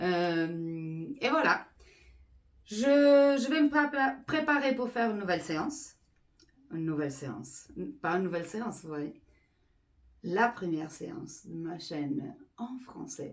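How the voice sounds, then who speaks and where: At a very slow pace with long, frequent pauses, a woman speaks at medium pitch. Her voice shows very wide pitch swings and big swings in loudness. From Portugal. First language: Portuguese (speaking French). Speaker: energy healer. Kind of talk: explanatory monologue. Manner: halting with fillers.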